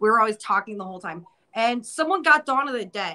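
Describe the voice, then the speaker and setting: Talking very fast with lively intonation, a woman with an American accent has a fairly high pitch and a bright, sharp tone over a quiet background. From upstate New York. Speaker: horror museum co-owner; guest. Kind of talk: casual chat. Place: office. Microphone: video call.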